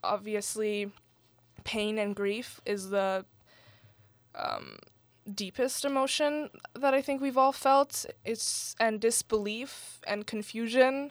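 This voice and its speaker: A woman with a Canadian accent, fairly high in pitch, very slow and full of long, frequent pauses, in a very clean recording with a silent background. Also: ordinary pitch variation. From Canada, Iranian family. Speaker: student writer. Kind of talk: interview. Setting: studio.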